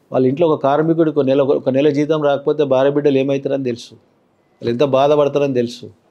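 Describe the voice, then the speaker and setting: Against a quiet background, the speaker talks in a flat monotone with a Telangana accent. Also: man, fairly high pitch for a man. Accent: Telangana Telugu. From Telangana, Patancheru area. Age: 50s. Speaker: politician; politician interviewee. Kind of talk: interview. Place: studio. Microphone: lapel.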